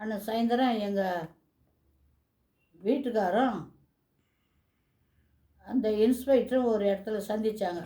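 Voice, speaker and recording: With a fairly high pitch and a dark, mellow tone, a woman speaks using fairly even intonation. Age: 80s+. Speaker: retired teacher. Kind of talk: personal reminiscence talk.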